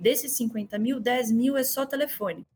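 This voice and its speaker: A woman with a Minas Gerais accent speaks at a high pitch. Her pace is fairly slow. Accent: Minas Gerais Brazilian Portuguese. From Brazil, Minas Gerais (Belo Horizonte). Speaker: customer success manager. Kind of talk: podcast interview.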